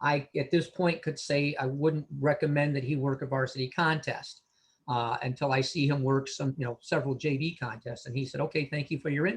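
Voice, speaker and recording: Somewhat breathy, a man speaks fairly quickly at a fairly high pitch with fairly even intonation. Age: 60s. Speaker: veteran sports official and mentor. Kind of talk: panel discussion. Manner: hesitant, many fillers.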